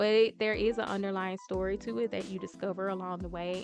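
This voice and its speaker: A woman at medium pitch with a Southern US accent and fairly even intonation, music in the background. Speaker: anime reviewer. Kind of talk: casual talk to camera.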